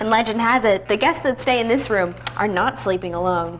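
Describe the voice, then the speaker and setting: Over noticeable background noise, a woman speaks at a fairly quick pace in a fairly high pitch with very even loudness. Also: ordinary pitch variation. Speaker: TV news reporter and anchor. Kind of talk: TV news anchor read.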